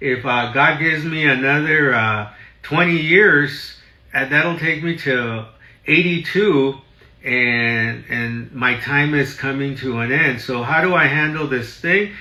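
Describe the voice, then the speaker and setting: The voice moves at a fairly slow pace with ordinary pitch variation. Audible room echo and noticeable background noise are present. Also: man, fairly high pitch for a man. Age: 60s. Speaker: real estate broker. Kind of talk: live stream talk. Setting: live stream in office. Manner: animated.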